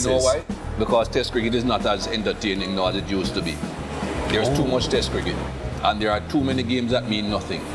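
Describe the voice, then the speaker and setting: A man speaks very fast while loud music plays in the background. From Jamaica. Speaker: former cricket fast bowler. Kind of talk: interview answer. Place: cafe.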